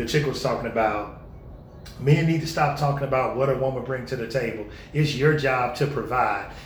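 A medium-pitched man speaks at a fairly quick pace with fairly even intonation, with audible room echo and noticeable background noise. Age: 30s. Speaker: podcast co-host. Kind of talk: casual chat.

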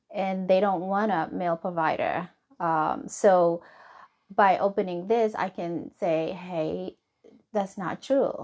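This woman has a medium pitch, ordinary pitch variation, and a Somali accent. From Somalia. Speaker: nurse practitioner. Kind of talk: interview. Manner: halting.

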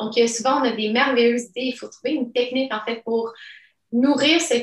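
Her voice is high-pitched for a woman. She moves at a fairly quick pace with fairly even intonation. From immigrated to Quebec at age 10. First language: not French (speaking French). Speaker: entrepreneur. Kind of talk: interview.

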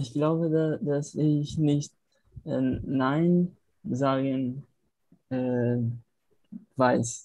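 With a Portuguese accent, a man speaks very slowly at a fairly high pitch, his intonation fairly even, leaving long and frequent pauses while music plays in the background. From Brazil, Natal. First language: Portuguese (speaking German). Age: 20s. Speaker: film student, language learner. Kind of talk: language practice conversation. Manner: halting.

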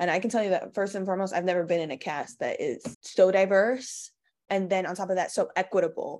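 In a quiet background, a woman with an American accent talks at a very fast pace, her medium pitch carried by fairly even intonation. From Queens, New York. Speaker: stage actress. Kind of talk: interview.

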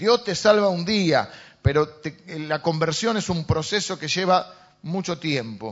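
A man's high-pitched voice with an Argentine accent. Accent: Argentine Spanish (Rioplatense). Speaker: pastor. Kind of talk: sermon. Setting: church. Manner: halting, with frequent fillers.

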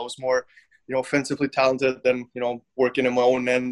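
Speaking at a very fast pace with a German accent, a man of medium pitch comes across in a dry, close sound with no echo. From Germany. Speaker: professional ice hockey player. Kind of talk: interview. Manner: halting.

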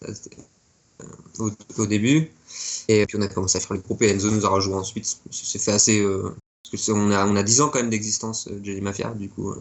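Fairly quick yet broken by long, frequent pauses, a man's speech keeps fairly even intonation at a fairly low pitch. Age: 20s. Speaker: punk rock musician. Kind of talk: interview.

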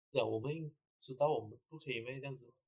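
Speaking at a fairly quick pace, a man uses a somewhat breathy, medium-pitched voice with fairly even intonation. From Malaysia, Kluang (Johor). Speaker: chef and restaurant owner. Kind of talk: casual chat.

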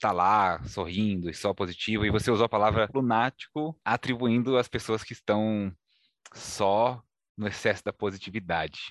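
A man with a plain, everyday voice and fairly low pitch, at a moderate pace with ordinary pitch variation, in a dry, close sound with no echo over a quiet background. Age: 30s. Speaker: podcast host. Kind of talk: podcast interview.

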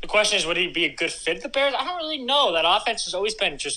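Pitch swings are very wide throughout. Noticeable background noise runs underneath. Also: man. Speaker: podcast co-host guest. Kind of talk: casual chat.

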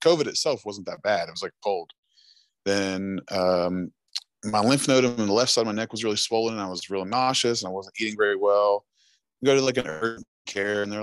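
Fairly low in pitch, a man with an American accent and a normal speaking voice talks at a fairly quick pace, the sound dry and close with no echo. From Chesapeake, Ohio (near Huntington, West Virginia). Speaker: musician. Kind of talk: casual interview chat.

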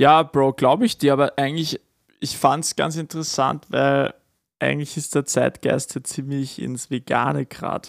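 The recording has a dry, close sound with no echo. A man with a normal speaking voice talks at a moderate pace with fairly even intonation. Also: fairly high pitch for a man. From Upper Austria (Kremsmünster). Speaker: podcast co-host. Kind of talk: casual chat.

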